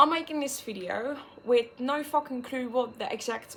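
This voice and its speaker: A woman's voice with a Dutch accent. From Netherlands. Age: 20s. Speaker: vlogger. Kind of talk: personal vlog monologue.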